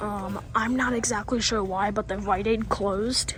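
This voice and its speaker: A man whispers at a fairly slow pace. Music plays in the background, and the room echo is audible. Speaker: store tour vlogger. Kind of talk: walking tour vlog. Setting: inside a retail store. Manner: whispering; hesitant, many fillers.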